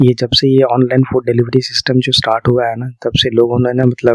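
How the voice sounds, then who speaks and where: A man speaks in a monotone with flat intonation. The sound is dry and close, with no echo. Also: very clean recording, silent background. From India. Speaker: ASMR creator. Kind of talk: ASMR girlfriend-style sleep talk. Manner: soft, calming, conversational.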